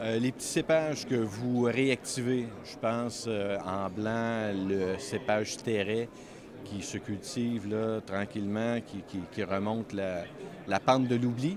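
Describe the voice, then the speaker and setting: A man in a Canadian French accent, medium in pitch, very slow, with fairly even intonation. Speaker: wine import agency president. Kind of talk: interview answer. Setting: trade fair.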